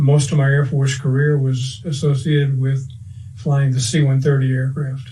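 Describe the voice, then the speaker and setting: Over audible room echo, a man speaks at a moderate pace and medium pitch, his intonation monotone and flat and his loudness very even. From US South, Cajun Louisiana (Breaux Bridge). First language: French. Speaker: war veteran. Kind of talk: oral history interview.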